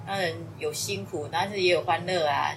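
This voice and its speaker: A woman speaks with a fairly low pitch and ordinary pitch variation. The room echo is audible. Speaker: parent of student. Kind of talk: interview.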